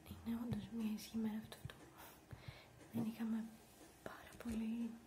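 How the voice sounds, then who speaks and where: Soft-spoken and whispering, a woman talks at a fairly slow pace against light background noise. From Greece. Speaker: ASMR vlogger. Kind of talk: ASMR rambling. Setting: office. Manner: soft-spoken, whispered. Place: home room. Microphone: webcam.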